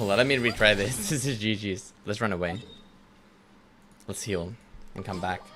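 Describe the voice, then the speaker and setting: A man speaks with a bright, sharp tone at a fairly low pitch, using ordinary pitch variation. His pace is moderate, broken by long, frequent pauses. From Finland. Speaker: streamer. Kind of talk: casual chat. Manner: animated.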